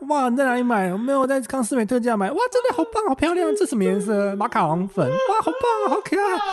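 A man with an extremely high voice talks very fast, with hardly any pauses and very wide pitch swings. His loudness stays very even while noticeable background noise runs underneath. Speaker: comedian. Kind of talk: casual chat. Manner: animated.

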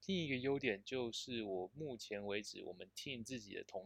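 A man's unremarkable speaking voice, medium in pitch, at a fairly slow pace. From Taiwan. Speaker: software engineer. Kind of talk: casual interview.

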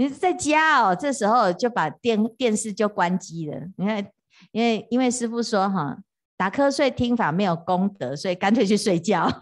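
Over a quiet background, a woman speaks in an animated tone with lively intonation. Her pitch is fairly high and her pace moderate. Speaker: Buddhist monastic teacher. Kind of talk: dharma lecture. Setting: retreat hall with live audience. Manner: animated, frequent fillers like 啊 哈 哦.

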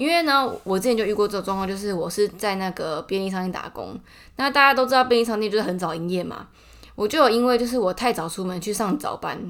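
A very clean recording with a silent background of a woman with a Taiwanese accent, medium pitch, ordinary pitch variation and a fairly quick pace. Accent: Taiwanese Mandarin. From Taiwan, Taichung. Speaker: podcaster. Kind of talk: casual monologue.

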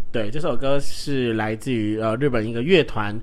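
A man is speaking. His intonation is lively. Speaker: podcast host who works with children. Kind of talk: solo casual talk. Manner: emotional, animated.

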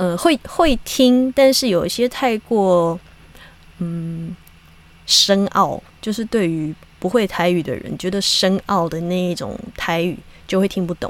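Pitched at a medium level, a woman with a Taiwanese accent speaks at a very slow pace. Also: ordinary pitch variation. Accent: Taiwanese Mandarin. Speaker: podcast host and actress. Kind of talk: casual monologue.

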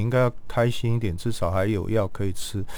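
A man talks at a medium pitch, and his pitch varies in an ordinary way. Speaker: palliative care physician. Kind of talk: interview.

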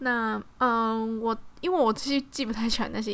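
A woman speaks with a Taiwanese accent at a fairly high pitch. Her pace is moderate and her pitch variation ordinary. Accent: Taiwanese Mandarin. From Taiwan, Tainan. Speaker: podcast host. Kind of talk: casual solo podcast talk.

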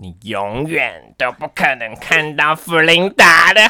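Putting on a character voice at a fairly high pitch, a man talks at a fairly slow pace with music playing behind him. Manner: uniform, stock witch voice.

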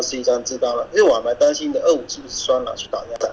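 A man is speaking here. There is noticeable noise in the background. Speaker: werewolf game player. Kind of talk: game discussion.

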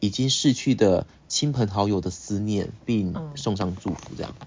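Quiet and fairly slow, a man speaks in a fairly low pitch with ordinary pitch variation. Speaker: podcast co-host. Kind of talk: casual chat. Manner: animated; quiet this time.

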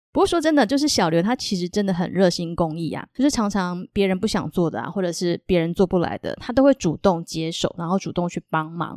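Speaking fairly quickly with hardly any pauses, a woman with a Taiwanese accent uses lively intonation at a medium pitch, in a dry, close recording with no echo that is very clean with a silent background. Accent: Taiwanese Mandarin. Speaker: podcast host. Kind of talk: casual interview chat; Bible storytelling.

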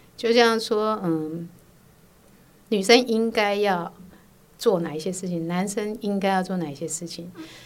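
Medium female pitch, fairly slow pacing, ordinary pitch variation and long, frequent pauses. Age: 50s. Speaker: host's mother. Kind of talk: interview. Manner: hesitant, many fillers.

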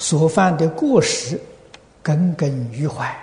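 A man with a high pitch speaks at a very slow pace over noticeable background noise. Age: old. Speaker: Buddhist teacher answering questions. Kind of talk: dharma talk answering questions.

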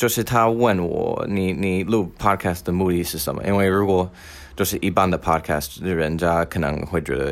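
In a non-native accent, a man speaks at a moderate pace with a very deep, low pitch, on a very clean recording with a silent background. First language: not Mandarin (speaking Chinese). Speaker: podcast host. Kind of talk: solo monologue.

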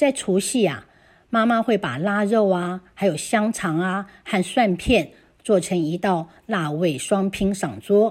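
A woman's medium-pitched voice at a very slow pace. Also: ordinary pitch variation. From Taiwan. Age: 60s. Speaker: listener contributor. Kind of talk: reading aloud.

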